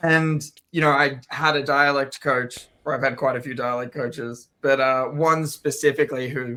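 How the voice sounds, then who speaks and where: In an Australian accent, a man speaks with a bright, sharp tone, a fairly high pitch and monotone, flat intonation. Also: moderate pace. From Australia, Melbourne. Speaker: actor. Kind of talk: interview.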